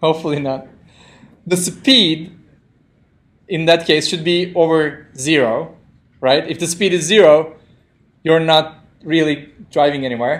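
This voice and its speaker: Fairly high male voice with a non-native accent, a fairly slow pace, long and frequent pauses, ordinary pitch variation and audible room echo. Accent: non-native English speaker. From Turkey. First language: Turkish. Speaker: programming instructor. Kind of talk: lecture. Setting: classroom with live audience, streamed. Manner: interactive, conversational.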